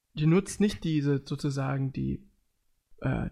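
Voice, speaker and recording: The man has an unremarkable speaking voice, fairly high in pitch, and he talks at a fairly slow pace. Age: 20s. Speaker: podcast host. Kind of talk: casual chat.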